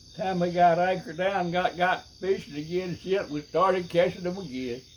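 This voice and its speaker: A man with a Southern US accent speaks at a moderate pace and a high pitch, with fairly even intonation. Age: 90s. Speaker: retired fisherman recalling stories. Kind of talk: casual storytelling. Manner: halting.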